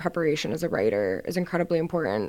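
A woman's very deep, low voice at a fairly quick pace, in a very clean recording with a silent background. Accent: American. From Houston, Texas. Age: 20s. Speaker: student photojournalist. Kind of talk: casual interview. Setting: studio. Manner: hesitant, many fillers.

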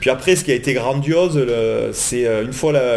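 A man talks with a southern French accent at a fairly quick pace. Noticeable background noise sits behind him. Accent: southern French, sing-song. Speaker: football supporter. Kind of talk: casual chat. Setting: in person studio.

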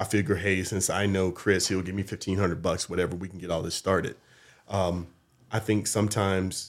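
On a very clean recording with a silent background, a man with an American accent speaks at a very fast pace with a very deep, low pitch, a monotone, flat intonation and big swings in loudness. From US South, North Carolina. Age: 50s. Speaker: community college program coordinator and instructor. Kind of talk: casual interview. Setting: studio.

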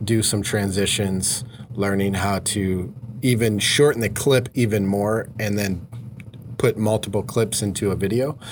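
Over noticeable background noise, a man speaks fairly slowly at a fairly low pitch with fairly even intonation. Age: 40s. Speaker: podcast host, mortgage branch manager. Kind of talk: casual interview chat.

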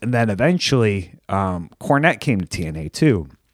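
With lively intonation, a man speaks in a dry, close sound with no echo. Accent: American. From Michigan, Detroit area (Plymouth). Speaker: professional wrestler. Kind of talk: casual chat.

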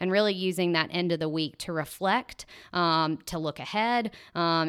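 Recorded very cleanly against a silent background, a woman with a Mississippi accent speaks at a moderate pace, her fairly low pitch showing ordinary variation. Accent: Mississippi Southern. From US South, Tupelo, Mississippi. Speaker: nonprofit project manager. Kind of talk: interview.

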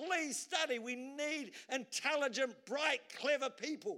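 A man speaks at a fairly slow pace in a raised, projected voice. His pitch is extremely high and his tone bright and sharp. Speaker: preacher. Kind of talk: sermon. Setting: church.

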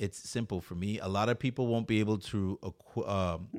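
Over a silent background in a very clean recording, a man with an American accent and a plain, everyday voice talks at a moderate pace with a fairly low pitch and fairly even intonation. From US Virgin Islands, Saint Croix. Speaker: food content creator. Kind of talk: casual chat.

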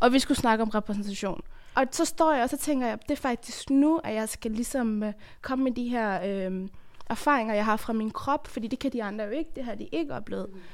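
In a normal speaking voice, a woman talks at a fairly quick pace with a fairly high pitch and ordinary pitch variation. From Afghanistan. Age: 20s. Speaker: theatre performer and activist. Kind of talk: casual group discussion.

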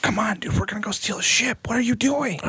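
A man does a put-on character voice, high-pitched and raspy. He talks at a very fast pace. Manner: whispering.

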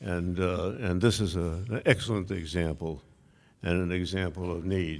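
In an American accent, a man speaks at a fairly slow pace, his pitch very deep and low and his intonation fairly even. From Massachusetts. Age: 90s. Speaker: honoree, retired executive. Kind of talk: speech at banquet. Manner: halting with fillers.

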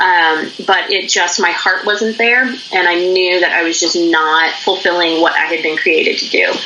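Speech in an American accent at a moderate pace, fairly even intonation, and audible room echo. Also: woman, fairly low pitch for a woman. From Pennsylvania, US. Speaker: business founder. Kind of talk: interview. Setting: video call.

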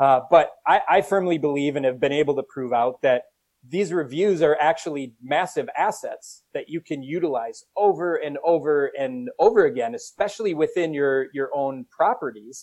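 A man's fairly high voice in a Minnesotan accent, with ordinary pitch variation, a moderate pace and hardly any pauses. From US Minnesota. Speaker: company CEO. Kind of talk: casual interview chat.

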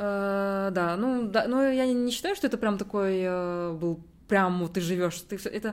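A woman's normal speaking voice, medium in pitch, with ordinary pitch variation. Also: fairly slow pace. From Kazakhstan. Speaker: university student abroad. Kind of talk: casual interview conversation.

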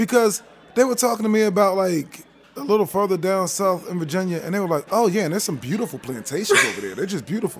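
Over noticeable background noise, a man with a high voice talks very fast with ordinary pitch variation. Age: 30s. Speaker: teacher. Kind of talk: casual chat. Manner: animated.

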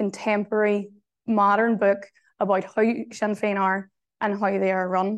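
A woman of medium pitch with a Northern Irish accent at a moderate pace, against a quiet background. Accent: Derry (Northern Irish). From Northern Ireland, Derry. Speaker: journalist and author. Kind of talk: keynote talk. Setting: venue with live audience.

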